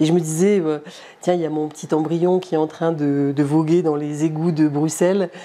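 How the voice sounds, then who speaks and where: Very deep and low for a woman, her voice is monotone with flat intonation and big swings in loudness, delivered at a moderate pace over noticeable background noise. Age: 70s. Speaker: interviewee recounting past abortion. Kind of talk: testimony. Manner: halting, many hesitations.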